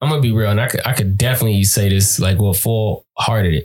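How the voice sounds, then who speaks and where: A man with an American accent, medium-pitched and somewhat breathy, at a fairly quick pace with ordinary pitch variation. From California. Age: 20s. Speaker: podcast co-host. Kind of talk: casual chat.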